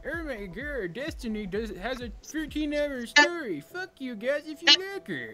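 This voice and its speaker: A put-on character voice is raised and projected at a high pitch. Clear music plays in the background. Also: moderate pace. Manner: mocking.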